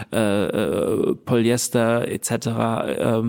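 Speaking in a medium pitch, a man keeps a monotone, flat intonation. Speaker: entrepreneur. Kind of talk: interview. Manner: halting, many fillers.

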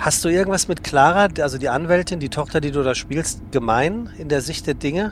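A man's ordinary speaking voice, an ordinary speaking voice at a fairly high pitch, fairly quick, with hardly any pauses and ordinary pitch variation. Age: 40s. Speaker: podcast host. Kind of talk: casual interview. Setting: on a regional train.

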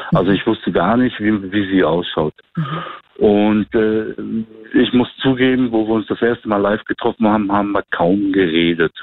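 In a plain, everyday voice, a man talks at a moderate pace and fairly low pitch, keeping his loudness very even. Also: ordinary pitch variation. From Germany. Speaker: guest telling a dating story. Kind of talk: storytelling.

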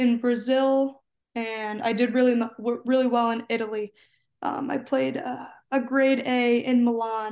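A woman's high voice, fairly slow and monotone with flat intonation, over a quiet background. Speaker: college tennis player. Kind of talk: casual interview. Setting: remote call from home.

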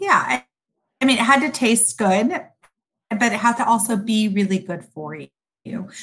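An unremarkable speaking voice from a woman, fairly high in pitch, with lively intonation, big swings in loudness and a fairly slow pace. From Sudan, raised in US. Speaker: food company founder. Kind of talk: interview.

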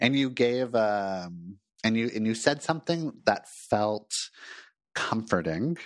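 A man with an American accent talks at a very slow pace in a medium pitch, leaving long, frequent pauses against a quiet background. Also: lively intonation. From Los Angeles, US. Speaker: therapist and podcast host. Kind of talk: casual interview chat.

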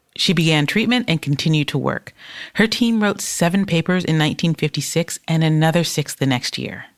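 With an American accent and an ordinary speaking voice, a woman talks at a fairly quick pace in a fairly low pitch with ordinary pitch variation, recorded with a dry, close sound and no echo. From US, Detroit. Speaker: podcast co-host. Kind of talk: scripted narration; casual chat.

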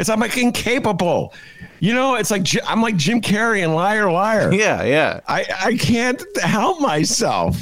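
A high-pitched man with an American accent, lively intonation, very even loudness and a fairly slow pace, against noticeable background noise. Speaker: podcast host. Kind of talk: casual chat.

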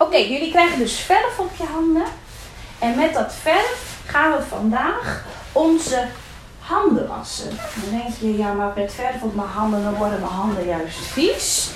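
Against noticeable background noise, a woman speaks at a fairly slow pace with a high pitch that swings very widely. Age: 30s. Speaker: kindergarten teacher. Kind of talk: classroom talk.

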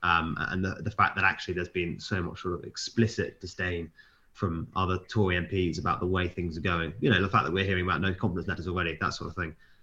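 Very fast, bright and sharp in tone, with a British accent and fairly even intonation. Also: man, very deep, low pitch for a man. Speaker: news editor. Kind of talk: casual chat. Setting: remote recording.

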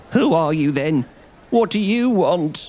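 A man uses a shaky, put-on character voice, high in pitch and at a fairly slow pace.

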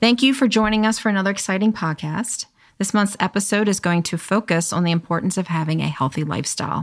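A woman speaks at a very fast pace, her medium pitch moving with ordinary variation. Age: 50s. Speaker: podcast host and life coach. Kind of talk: casual chat; scripted intro.

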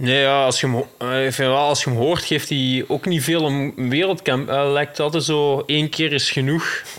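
Amid noticeable background noise, a man with a Belgian accent and a fairly high pitch speaks at a moderate pace, with very even loudness and fairly even intonation. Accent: more Belgian than Dutch. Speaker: cyclocross rider. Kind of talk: casual chat.

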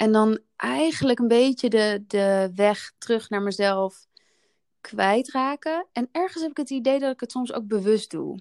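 An ordinary speaking voice comes at a fairly slow pace with lively intonation. The sound is dry and close with no echo, in a very clean recording with a silent background. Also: woman, fairly high pitch for a woman. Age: 30s. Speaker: podcast host, wellbeing business co-founder. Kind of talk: casual chat.

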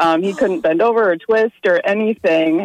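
This woman has an ordinary speaking voice, pitched in the medium range with ordinary variation. The sound is dry and close, with no echo. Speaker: radio call-in listener. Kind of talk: casual personal anecdote. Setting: phone call.

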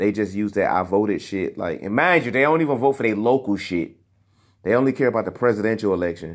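Talking at a very fast pace, a man with a fairly low pitch uses an animated tone against a quiet background. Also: lively intonation. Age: 30s. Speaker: podcast host. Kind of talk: casual solo commentary.

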